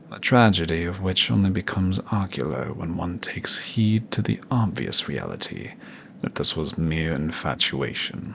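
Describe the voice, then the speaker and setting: Putting on a character voice, a man sounds raspy and very deep, at a moderate pace over light background noise. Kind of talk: audio roleplay. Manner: formal, haughty, flirtatious.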